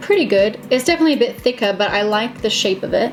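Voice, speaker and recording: Music plays in the background as a woman talks. She speaks very fast with lively intonation. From Australia. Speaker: beauty vlogger. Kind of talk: casual makeup tutorial talk to camera. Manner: scattered, chatty.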